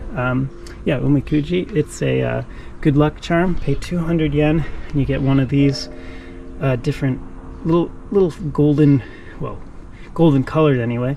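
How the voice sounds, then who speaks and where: Long pauses come often in this moderately paced speech, and background noise is clearly audible. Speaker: vlogger. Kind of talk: walking vlog commentary. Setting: outdoors. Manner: lowered voice; hesitant, many fillers.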